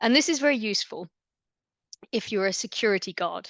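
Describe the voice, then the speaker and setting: A woman with an English accent at a medium pitch, very fast pace, dry, close sound with no echo, and a quiet background. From England, London area. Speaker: immunology researcher. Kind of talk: lecture.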